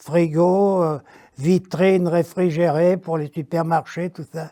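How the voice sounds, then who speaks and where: A man speaks at a very slow pace in a high pitch, with monotone, flat intonation and a dry, close sound with no echo. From France, Beaujolais area. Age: 90s. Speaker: retired factory worker. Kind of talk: interview. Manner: halting.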